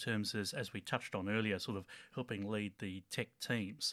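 A man with an Australian accent at a moderate pace, in a very clean recording with a silent background. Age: 30s. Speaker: town planner and church tech team leader. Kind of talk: casual interview. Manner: halting, many fillers.

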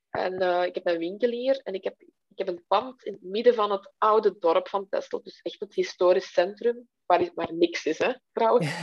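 Speaking with hardly any pauses, this voice has ordinary pitch variation and big swings in loudness, recorded with a dry, close sound with no echo. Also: woman, medium pitch for a woman. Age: 30s. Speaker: webshop owner. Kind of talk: interview conversation. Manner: slow, halting.

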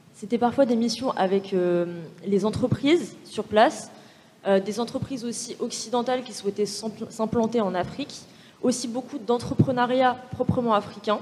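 A woman's fairly high voice at a moderate pace with ordinary pitch variation, amid noticeable background noise. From France, Paris suburbs (Val-de-Marne, near Orly). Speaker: business school student. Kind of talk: panel discussion.

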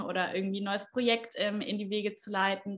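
Keeping a monotone, flat intonation, a woman speaks at a moderate pace and a medium pitch. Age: 20s. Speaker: astrologer and trained speech therapist. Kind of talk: interview.

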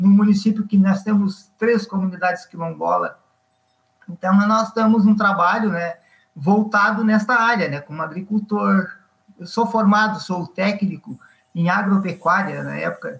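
A man talks at a fairly slow pace in a high voice. His intonation stays fairly even. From Rio Grande do Sul, Viamão. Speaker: rural union leader and farmer. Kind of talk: interview. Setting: video call.

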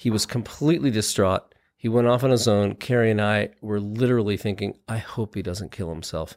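An ordinary speaking voice, this man's is fairly low, with ordinary pitch variation. He talks at a fairly quick pace with hardly any pauses, in a very clean recording with a silent background. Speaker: doctor. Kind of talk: casual chat. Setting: studio.

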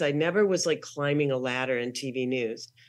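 Fairly quick speech from a woman with an American accent. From Minnesota, US Midwest. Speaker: author and television writer. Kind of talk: interview.

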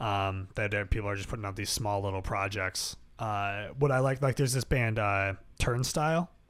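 The speaker is a man with an American accent and an unremarkable speaking voice. His pitch is fairly low with ordinary variation, his pace is moderate, and the recording is very clean with a silent background. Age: 20s. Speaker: podcast host and musician. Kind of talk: casual interview chat.

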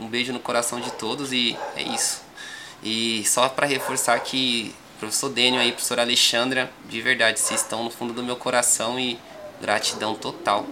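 A man speaks in a flat monotone at medium pitch and a moderate pace. Noticeable background noise runs under his voice. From São Paulo, Grajaú. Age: 20s. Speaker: rapper. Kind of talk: casual interview.

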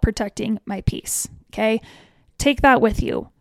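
Her tone animated, a woman speaks at a moderate pace with ordinary pitch variation, the sound dry and close with no echo. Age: 30s. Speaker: fashion influencer and podcast host. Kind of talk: casual solo talk. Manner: animated, laughing.

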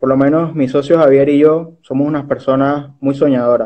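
At a moderate pace, a man with a fairly high pitch and fairly even intonation speaks in an unremarkable speaking voice. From Panama, Chiriquí. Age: 20s. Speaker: social entrepreneur and bank advisor. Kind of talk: interview.

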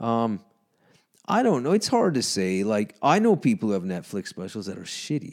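In a Canadian accent, a man talks at a moderate pace with very wide pitch swings. The recording is very clean, with a silent background. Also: medium pitch for a man. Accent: Canadian accent, noticeable. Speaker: comedian and electrician. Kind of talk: casual chat. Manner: sounds amused and annoyed at once.

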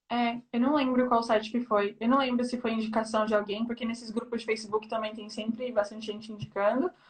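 At a fairly quick pace, a woman speaks in a monotone, flat intonation with a fairly high pitch. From Brazil, São Paulo (east zone). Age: 20s. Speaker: Brazilian expat living in France. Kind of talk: casual interview chat. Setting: Instagram live video call.

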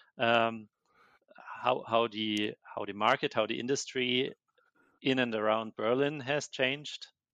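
A man with a German accent, medium pitch and bright, sharp tone, fairly slow with long, frequent pauses and fairly even intonation, dry and close with no echo over a quiet background. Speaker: software engineer. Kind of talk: casual interview conversation. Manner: halting, many repetitions.

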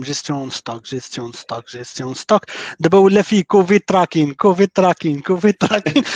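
Talking at a fairly quick pace, the man has a plain, everyday voice, heard dry and close with no echo against a quiet background. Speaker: software developer. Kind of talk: casual panel discussion.

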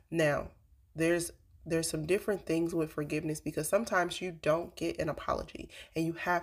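A woman with a fairly low pitch speaks in a monotone, flat intonation. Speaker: podcast host. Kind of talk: casual faith-based monologue. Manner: halting, with fillers.

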